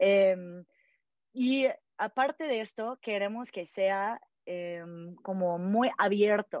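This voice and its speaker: A woman's medium-pitched voice with ordinary pitch variation, at a very slow pace. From California, US. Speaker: founder of a vegetarian community project. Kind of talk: interview. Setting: podcast interview.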